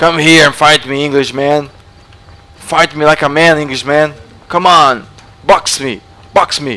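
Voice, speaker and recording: Here a man talks at a very slow pace with long, frequent pauses. His pitch is fairly high. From Brazil. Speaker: gaming youtuber; gaming streamer. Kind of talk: gameplay commentary. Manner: animated. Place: home room.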